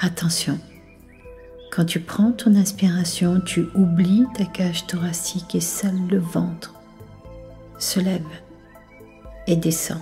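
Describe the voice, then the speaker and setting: Soft-spoken and soothing, a woman with a fairly low voice talks at a very slow pace with fairly even intonation, long and frequent pauses, and music in the background. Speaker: hypnotherapist. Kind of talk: sleep hypnosis session. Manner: soft-spoken, slow, soothing.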